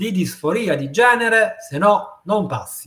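Speaking at a fairly slow pace, a man has a high pitch and a bright, sharp tone. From Naples, southern Italy. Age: 50s. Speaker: psychiatrist. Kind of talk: interview.

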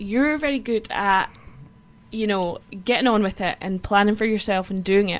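A woman's medium-pitched voice in a Scottish Borders accent, at a moderate pace with ordinary pitch variation. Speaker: podcast co-host. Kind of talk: casual chat.

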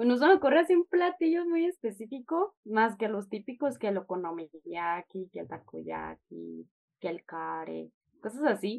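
In a dry, close sound with no echo, a woman speaks at a moderate pace with big swings in loudness. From Chihuahua, northern Mexico. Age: 20s. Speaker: language club member and intern. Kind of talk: interview.

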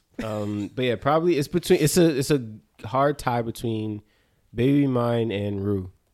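A man speaks in a normal speaking voice at medium pitch. His pace is moderate, with ordinary pitch variation. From New Jersey. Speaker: dancer and choreographer. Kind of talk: casual chat.

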